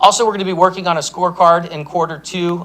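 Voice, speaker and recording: Noticeable background noise sits under this recording. The man in it talks at a very fast pace. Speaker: city staff presenter. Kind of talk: presentation at city council meeting.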